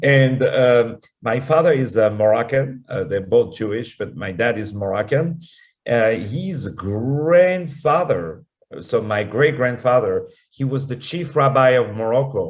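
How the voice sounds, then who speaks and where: A man speaks with a French accent at medium pitch, somewhat breathy. His intonation is lively and his pace fairly slow. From France (Paris). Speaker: opera singer and actor. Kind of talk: radio interview. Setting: talk radio interview. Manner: halting, many fillers and repeats.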